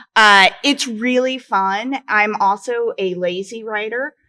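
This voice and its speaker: A woman's medium-pitched voice, bright and sharp in tone, with a Midwestern American accent. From Western Nebraska. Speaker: romance author panelist. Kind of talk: convention panel discussion.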